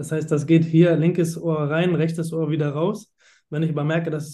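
A man talks with a dark, mellow tone at a fairly high pitch. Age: 30s. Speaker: finance manager. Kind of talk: interview. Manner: animated.

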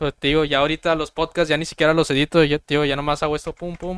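A man speaks in a fairly high voice with monotone, flat intonation. The sound is dry and close, with no echo. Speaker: podcast host. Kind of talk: casual chat. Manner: casual, slangy.

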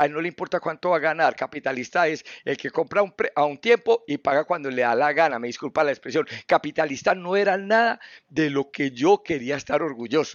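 The man has a plain, everyday voice, fairly high in pitch. He speaks at a fairly quick pace. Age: 50s. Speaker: business owner and theologian. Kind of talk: interview.

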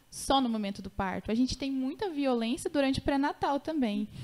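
Lively intonation marks this woman's speech. She talks at a moderate pace. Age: 20s. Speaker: lawyer specializing in obstetric violence. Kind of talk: casual interview.

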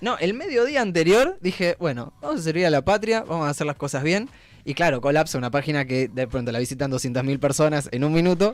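Fairly quick and with lively intonation, a man uses an unremarkable speaking voice pitched fairly high. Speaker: radio host. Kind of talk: casual chat.

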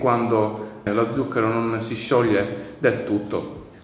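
A man talks at a very slow pace with medium pitch. Noticeable background noise can be heard. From Sicily. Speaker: chef. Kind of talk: explanatory interview answers.

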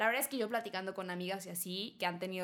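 A woman talks at a very fast pace. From Mexico. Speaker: podcast host. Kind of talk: casual chat.

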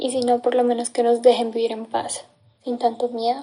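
This woman has a high pitch. Her tone is dark and mellow. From Colombia, Caldas. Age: 20s. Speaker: displaced conflict survivor. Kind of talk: testimony.

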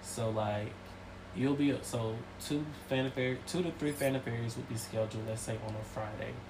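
Speaking at a moderate pace with a Southern US accent, a man at medium pitch keeps his intonation fairly even against noticeable background noise. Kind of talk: casual chat.

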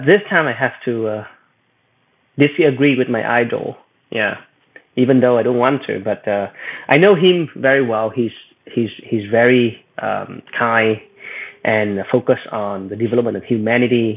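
Long, frequent pauses break up the speech of a man with a Vietnamese accent. His pitch shows ordinary variation. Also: medium pitch for a man, moderate pace. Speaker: AI executive and researcher. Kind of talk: panel discussion. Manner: halting.

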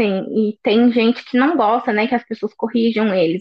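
A normal speaking voice from a woman, fairly high in pitch, with lively intonation at a moderate pace. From Brazil, interior of Minas Gerais. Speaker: finance manager, expat. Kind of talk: casual interview chat.

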